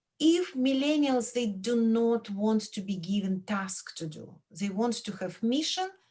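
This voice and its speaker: The speaker has a Belarusian accent and a dark, mellow tone. Pitch swings very widely at a fairly slow pace. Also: woman. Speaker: professor. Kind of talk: radio interview.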